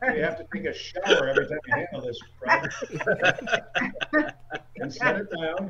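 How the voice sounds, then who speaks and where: A man talks at a fairly slow pace, with big swings in loudness. There is loud background noise behind him. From US Northeast (Syracuse, upstate New York). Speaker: stand-up comedian. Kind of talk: stand-up comedy set performed to a virtual audience. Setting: video call from his home basement. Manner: conversational, self-deprecating storyteller with crowd-work asides; halting with frequent repeats and ums, laughing at own jokes. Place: home room. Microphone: handheld.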